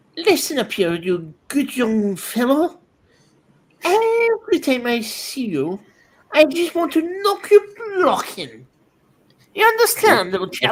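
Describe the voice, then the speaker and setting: A high, put-on character voice with very wide pitch swings, a fairly slow pace, and long, frequent pauses. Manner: menacing, threatening.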